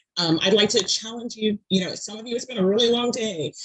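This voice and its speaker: Speaking very fast with a Southern US accent, a woman keeps her intonation fairly even. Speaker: public speaker and advocate. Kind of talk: presentation. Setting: video call from bedroom. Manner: frequent fillers and hesitations.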